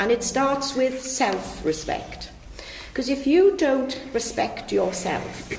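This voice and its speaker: A woman with a Welsh accent speaks at a very slow pace, her high pitch making very wide swings. Room echo is audible and the background noise is noticeable. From West Wales. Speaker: local councillor. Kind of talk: panel speech.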